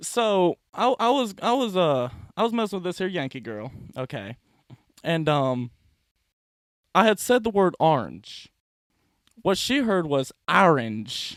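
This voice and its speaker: Speaking with a Southern US accent, a man uses a high pitch with very wide swings, moving at a fairly slow pace with long, frequent pauses. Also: very clean recording, silent background. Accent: southern drawl. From US South. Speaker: comedian. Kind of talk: casual chat.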